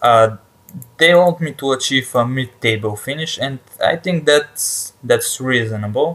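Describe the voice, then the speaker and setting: A man speaks with a strong non-native accent at a medium pitch. His pace is fairly slow, with ordinary pitch variation. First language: not English. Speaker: gaming YouTuber. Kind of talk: let's play commentary. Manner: halting, with many fillers and repetitions.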